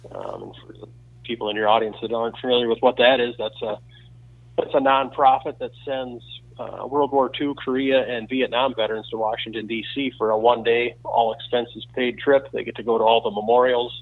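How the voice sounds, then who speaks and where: A man with a Wisconsin accent, medium pitch, and monotone, flat intonation. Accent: Upper Midwest (Wisconsin). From central Wisconsin. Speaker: archery equipment company owner. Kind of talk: casual interview.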